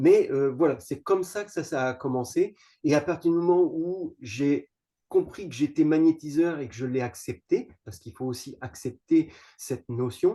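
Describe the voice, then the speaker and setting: Fairly slow and fairly high-pitched, a man speaks in a dark, mellow tone. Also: ordinary pitch variation. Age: 50s. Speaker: magnetic healer and holistic object maker. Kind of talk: interview. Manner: halting, many hesitations and repetitions.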